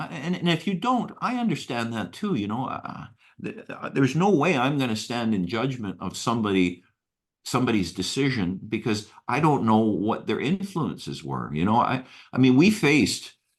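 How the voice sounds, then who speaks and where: Over a quiet background, a man of medium pitch talks at a moderate pace with vocal fry and very wide pitch swings. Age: 60s. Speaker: retired engineer. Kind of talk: interview. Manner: halting, many repeated words.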